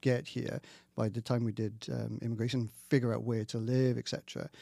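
Someone speaks with a Welsh accent at a fairly quick pace. The recording is very clean with a silent background, and the sound is dry and close with no echo. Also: man. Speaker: scientist, diagnostics head. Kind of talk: casual chat. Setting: studio.

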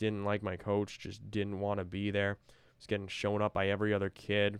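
A man speaks at a fairly quick pace. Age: 20s. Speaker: author reading own work with commentary. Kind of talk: personal commentary monologue. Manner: casual, rambling with fillers.

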